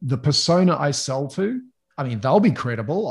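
Somewhat breathy and with very wide pitch swings, a man talks in an American accent. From New Zealand. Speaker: sales consultant. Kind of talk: interview.

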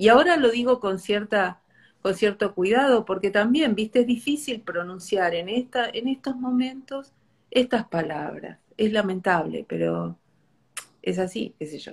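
A woman's fairly high, somewhat breathy voice carries lively intonation and big swings in loudness. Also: fairly slow pace. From Argentina, small inland town. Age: 50s. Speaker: bookshop owner. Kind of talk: casual chat. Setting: Instagram live.

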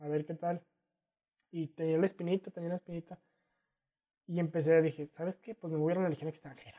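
A man with a Mexican accent speaks at a high pitch in a dark, mellow tone, his intonation monotone and flat, with long, frequent pauses and a dry, close sound with no echo. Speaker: adventurer and sociology graduate. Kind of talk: casual interview.

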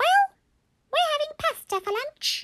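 A squeaky, female-sounding put-on character voice, extremely high-pitched, at a fairly slow pace. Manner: playful, comedic.

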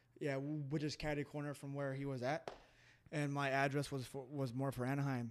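With a Western US accent, a man speaks at a fairly quick pace in a monotone, flat intonation and a fairly high pitch. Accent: general American, western US. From Colorado and California, US. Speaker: MMA fighter. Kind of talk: casual chat, interview. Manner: fast talker.

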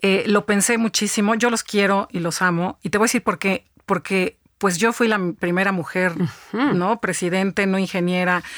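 A woman speaks at a moderate pace with a medium pitch and fairly even intonation, in a plain, everyday voice. The recording is very clean and dry, close-miked with a silent background and no echo. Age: 50s. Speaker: business executive and author. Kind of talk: interview.

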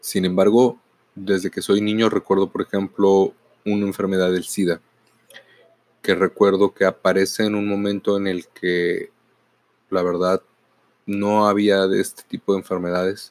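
Speaking at a fairly slow pace with long, frequent pauses, a man uses a fairly low pitch and a monotone, flat intonation, and the sound is dry and close with no echo. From northern Mexico, Mexicali, Baja California. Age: 40s. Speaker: podcaster and teacher. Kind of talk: reflective monologue.

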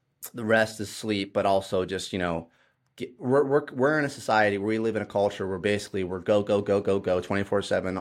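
A man with a Midwestern US accent, fairly low in pitch, fairly quick, and fairly even in intonation, on a very clean recording with a silent background. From Ohio. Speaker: fitness trainer. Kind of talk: casual chat.

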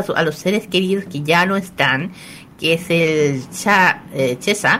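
A woman speaks with a Chilean accent. Her pace is fairly slow. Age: 20s. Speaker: radio co-host. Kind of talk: casual radio chat.

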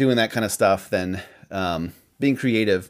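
A man speaks with a Midwestern American accent. His pitch sits fairly low. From Iowa, US Midwest. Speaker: podcast co-host. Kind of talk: casual chat.

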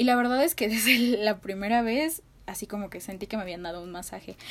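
A woman speaks in an animated tone at a moderate pace, her fairly high voice showing ordinary pitch variation. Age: 20s. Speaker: podcast host, sociology student. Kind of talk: casual solo podcast monologue.

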